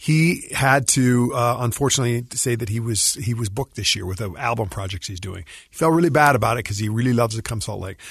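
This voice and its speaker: A man talks at a very fast clip, his voice somewhat breathy. His pitch varies in an ordinary way while his loudness swings widely. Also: medium pitch for a man. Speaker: musician and composer. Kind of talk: radio interview. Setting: radio studio.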